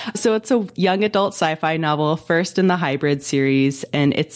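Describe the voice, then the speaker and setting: Noticeable background noise sits behind a woman's voice. She talks at a fairly quick pace with ordinary pitch variation. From China (Chengdu), third culture kid. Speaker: young adult author. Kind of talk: casual interview chat.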